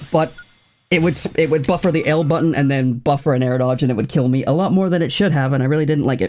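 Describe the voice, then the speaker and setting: Over music in the background, a man speaks at a very fast pace with very even loudness. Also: ordinary pitch variation. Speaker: gaming YouTuber. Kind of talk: let's play commentary. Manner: halting, with stammers and repetitions; casual, chatty.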